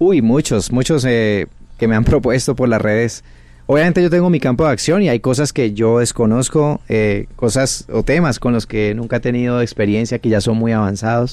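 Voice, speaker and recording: A man's plain, everyday voice at medium pitch, very even in loudness, with ordinary pitch variation. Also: moderate pace. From Colombia, Cali. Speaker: math teacher and educational youtuber. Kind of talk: interview. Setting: radio studio.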